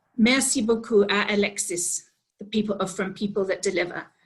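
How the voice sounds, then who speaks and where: This woman's voice sits at a medium pitch. It has a somewhat breathy quality. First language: English (speaking French). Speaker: organisation executive, webinar opener. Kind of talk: formal webinar welcome. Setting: online webinar.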